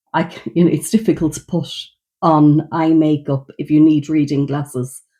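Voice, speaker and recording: A woman's very deep, low voice with an Irish accent, dark and mellow in tone, at a moderate pace. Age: 60s. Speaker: beauty vlogger. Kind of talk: makeup get-ready-with-me demonstration. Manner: casual, conversational.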